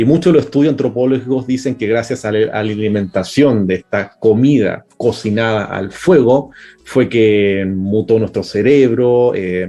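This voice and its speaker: Music plays behind a man who barely pauses. His pitch variation is ordinary. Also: medium pitch for a man, fairly slow pace. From Chile. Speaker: cook and science communicator. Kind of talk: interview.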